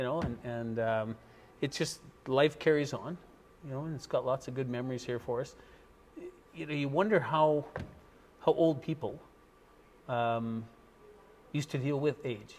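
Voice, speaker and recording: Speaking with a western Canadian accent, a man talks at a moderate pace in a medium pitch, with ordinary pitch variation and long, frequent pauses. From western Canada, Fort St. John, British Columbia. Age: 60s. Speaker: local business owner. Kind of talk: casual interview.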